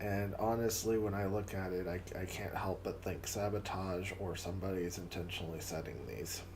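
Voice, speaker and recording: Amid noticeable background noise and audible room echo, a man talks at a fairly quick pace with a very deep, low pitch and monotone, flat intonation. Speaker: livestream host. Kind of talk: casual livestream chat. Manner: halting, repeats words.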